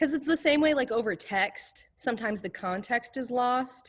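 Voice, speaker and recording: A woman speaks in a high-pitched voice. Her intonation is lively. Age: 20s. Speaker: high school choir teacher. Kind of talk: classroom talk to students. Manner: casual, chatty.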